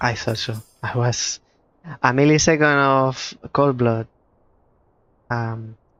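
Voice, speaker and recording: A man with a Spanish accent speaks at a very slow pace, his pitch medium and intonation fairly even. Long pauses come often. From Spain. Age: 30s. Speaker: puzzle game streamer. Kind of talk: live gameplay commentary.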